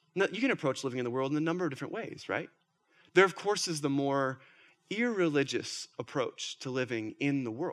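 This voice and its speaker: On a very clean recording with a silent background, a man with an American accent talks at a fairly quick pace, using a fairly high pitch and lively intonation. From Minnesota. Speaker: pastor. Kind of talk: sermon.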